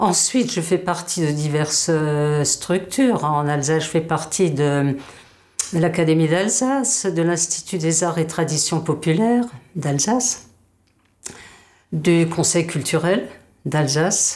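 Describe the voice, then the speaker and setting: Her pitch fairly low, a woman speaks at a very slow pace with long, frequent pauses and very even loudness. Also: ordinary pitch variation. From Moselle, Lorraine (Alsatian family). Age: 70s. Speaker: linguist and dialect teacher. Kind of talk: interview, personal account. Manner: halting, many hesitations.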